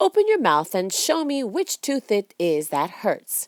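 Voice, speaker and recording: A woman puts on a character voice, pitched fairly high and delivered at a fairly slow pace. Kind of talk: bedtime story. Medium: read story.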